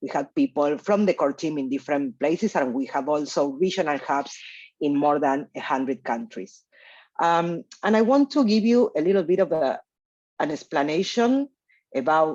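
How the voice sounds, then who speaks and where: Long, frequent pauses break up speech at a moderate pace against a quiet background. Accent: Spanish. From Argentina. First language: Spanish. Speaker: researcher leading a data initiative. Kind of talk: conference presentation. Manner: hesitant with fillers.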